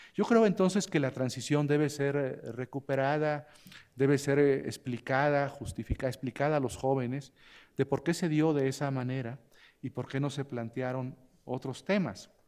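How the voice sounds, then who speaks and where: This man has an ordinary speaking voice, fairly high in pitch, with ordinary pitch variation, a moderate pace and a quiet background. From Mexico. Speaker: law scholar, commentator; commentator. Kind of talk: panel commentary. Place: hall. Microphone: podium.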